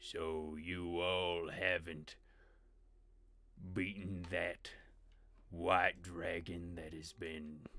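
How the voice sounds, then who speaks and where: A man puts on a growling character voice with a menacing tone and a very deep, low pitch. He speaks at a very slow pace. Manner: menacing, imposing.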